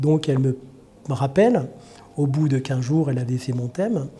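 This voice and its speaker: Somewhat breathy and dark, mellow in tone, a man talks at a moderate pace. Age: 60s. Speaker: healer and trainer. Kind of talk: personal introduction monologue. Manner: hesitant, many fillers (euh).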